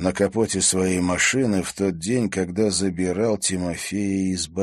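The intonation stays fairly even while reading aloud in a natural voice.

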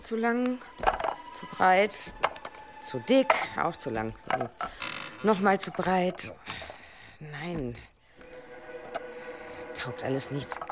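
Put-on character voice from a woman, fairly low in pitch, with big pitch swings, a very slow pace, long, frequent pauses, and faint background noise

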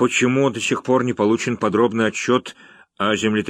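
A natural voice reads the text aloud. The intonation is fairly even.

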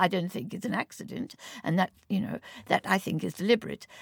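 A woman speaks with vocal fry. Her pace is fairly quick. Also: dry, close sound with no echo. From South Africa, Orange Free State. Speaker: economist, policy director. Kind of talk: panel discussion. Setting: studio.

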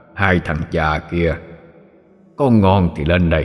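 A man uses a put-on character voice at a very deep, low pitch and a fairly slow pace. He cackles. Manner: cackling, taunting.

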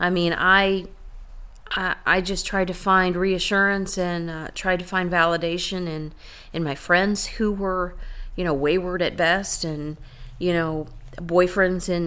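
Her pitch is fairly low and her intonation monotone and flat as this woman speaks at a fairly slow pace in an American accent. Audible room echo surrounds the voice. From Iowa, then Florida from age 10. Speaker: church member sharing her faith story. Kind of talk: testimony. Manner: halting.

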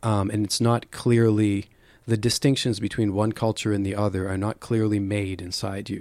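In a Western Canadian accent, a man speaks at a moderate pace in a fairly low pitch. His intonation is monotone and flat, on a very clean recording with a silent background. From Calgary, Alberta, Canada. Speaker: poet. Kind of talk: interview; poetry reading. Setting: studio. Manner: halting.

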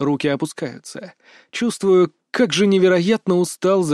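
Read aloud in a natural voice with ordinary pitch variation against a quiet background.

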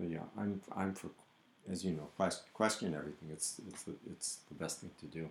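The speech runs at a moderate pace with fairly even intonation, long, frequent pauses and big swings in loudness. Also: man, very deep, low pitch for a man. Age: 60s. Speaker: podcast co-host, painter. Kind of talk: casual chat.

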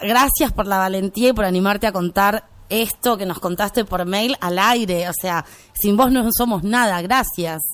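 A woman has a normal speaking voice at a medium pitch with ordinary pitch variation. She talks at a fairly slow pace. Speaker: radio host. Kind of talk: radio show.

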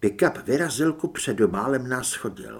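The reading voice sounds natural. Pitch rises and falls in an ordinary way.

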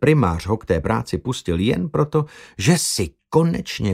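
A quiet background frames a reader using a natural voice.

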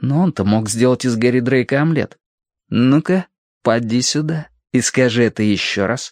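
A natural voice reads aloud, its pitch varying in an ordinary way. Behind it, all is quiet.

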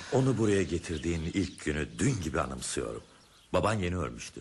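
A man's fast, low-pitched put-on character voice with big pitch swings, vocal fry and a slightly husky edge.

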